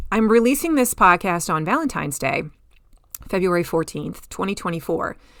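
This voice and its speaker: Speaking at a fairly quick pace, a woman with a medium pitch uses very wide pitch swings and vocal fry. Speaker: podcast host, farm marketing coach. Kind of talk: solo podcast talk.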